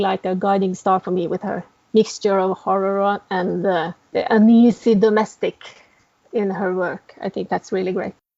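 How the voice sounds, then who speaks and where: A woman's medium-pitched voice in a Norwegian accent, monotone and flat, at a fairly slow pace. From Norway. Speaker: novelist. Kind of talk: interview.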